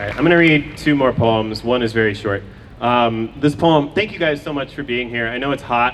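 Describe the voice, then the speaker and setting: A man's intonation stays fairly even as he talks very fast amid noticeable background noise. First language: Farsi. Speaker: poet. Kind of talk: poetry reading. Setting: outdoors. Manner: halting.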